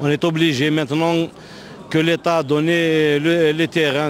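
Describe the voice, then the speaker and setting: A man talks at a very slow pace. Noticeable background noise comes through. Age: 60s. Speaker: football club president. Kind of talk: press interview. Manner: halting, many fillers.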